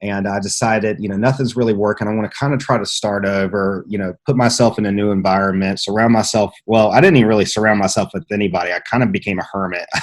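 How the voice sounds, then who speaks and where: A man with an American accent talks at a very fast pace, with hardly any pauses. His intonation stays fairly even. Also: fairly low pitch for a man. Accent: slight mountain twang. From Southwest Virginia, rural mountains. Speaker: entrepreneur, lighting business owner. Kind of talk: interview, personal story. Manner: halting, many fillers and restarts.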